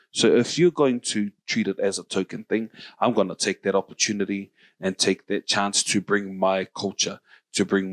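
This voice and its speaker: In a very clean recording with a silent background, a man talks at a moderate pace. His fairly low voice sounds dry and close, with no echo. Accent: New Zealand. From New Zealand. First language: Samoan. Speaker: podcast host. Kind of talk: casual chat.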